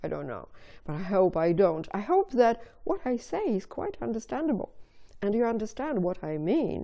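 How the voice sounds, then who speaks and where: A woman in a Russian accent speaks with very wide pitch swings. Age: 50s. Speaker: video blogger. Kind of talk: casual monologue to camera. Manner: hesitant, with fillers.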